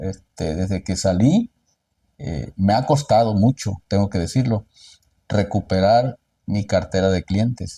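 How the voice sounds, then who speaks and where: A man's somewhat breathy, dark, mellow voice, fairly low in pitch and fairly slow, on a very clean recording with a silent background. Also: ordinary pitch variation, dry, close sound with no echo. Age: 60s. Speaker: lawyer. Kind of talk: interview.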